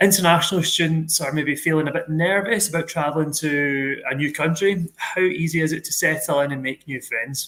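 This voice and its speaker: Fairly quick and with hardly any pauses, a man speaks in a Glaswegian accent. His pitch is fairly high and his intonation fairly even. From Scotland, Glasgow. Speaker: university staff host of student Q&A. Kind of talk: live Q&A moderation. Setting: live online stream.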